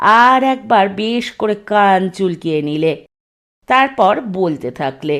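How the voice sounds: Lively intonation marks a natural reading voice heard over a quiet background.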